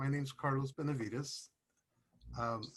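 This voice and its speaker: Somewhat breathy, a man speaks at a moderate pace and medium pitch with monotone, flat intonation. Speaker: patient advocate, person with tetraplegia. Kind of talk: panel introduction. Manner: soft-spoken, quiet. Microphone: too quiet, far from mic.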